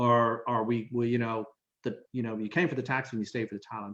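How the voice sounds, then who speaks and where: A man with a Dublin accent talks at a fairly quick pace. His voice sits at a medium pitch. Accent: Irish (Dublin). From Ireland, Dublin. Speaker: diplomat. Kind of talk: casual interview. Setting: video call.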